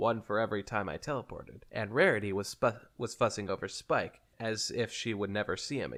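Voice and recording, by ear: Someone reads aloud in a natural voice, the intonation fairly even.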